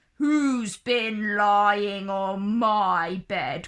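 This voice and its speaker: A woman puts on a growling character voice at medium pitch. Her pitch variation is ordinary. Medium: read story.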